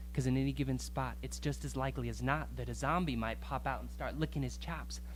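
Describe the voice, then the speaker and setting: A man speaks at a very deep, low pitch and a moderate pace. His delivery is monotone and flat, and somewhat breathy. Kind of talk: spoken word poetry performance.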